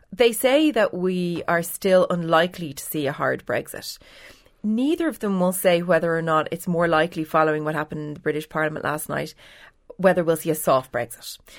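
In an Irish accent, a woman talks at a fairly quick pace with ordinary pitch variation on a very clean recording with a silent background. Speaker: political editor. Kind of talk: newspaper panel discussion.

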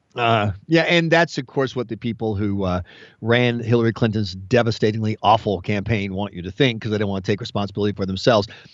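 Speaking very fast in an animated tone, a man with an American accent has a fairly low pitch. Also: ordinary pitch variation. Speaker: US radio commentator. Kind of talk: opinionated banter. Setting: phone call, remote from Washington. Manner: animated, joking.

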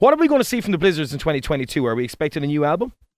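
In an Irish accent, a man with a fairly high pitch talks very fast on a very clean recording with a silent background. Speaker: radio host. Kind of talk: casual radio interview.

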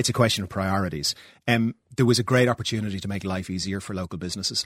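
The man's fairly low voice comes at a very fast pace with ordinary pitch variation. The sound is dry and close with no echo, on a very clean recording over a silent background. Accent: Irish. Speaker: politician. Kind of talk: political interview.

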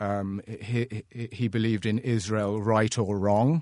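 A very slow man with a London accent and a fairly low pitch, over a quiet background. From London, England. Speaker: art gallery owner. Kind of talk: panel discussion. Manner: halting, many fillers.

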